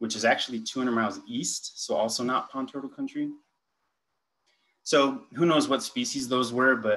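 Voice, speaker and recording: At a moderate pace, a man speaks while his pitch varies in an ordinary way. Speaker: conference presenter. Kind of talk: lecture. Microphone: video call.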